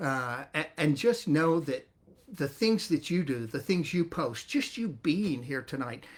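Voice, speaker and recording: A man speaks at a moderate pace in a Southern US accent. His voice is somewhat breathy, with lively intonation. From US South, north Florida. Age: 60s. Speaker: network marketing distributor. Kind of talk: testimony. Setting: livestream.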